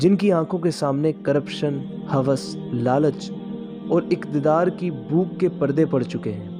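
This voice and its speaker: With music playing behind him, a man talks at a fairly high pitch. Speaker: voice-over artist. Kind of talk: documentary narration. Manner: earnest, impassioned.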